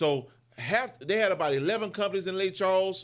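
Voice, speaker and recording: A man at a fairly quick pace, animated in tone and lively in intonation, on a very clean recording with a silent background. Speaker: business owner. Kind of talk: motivational business talk. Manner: fast.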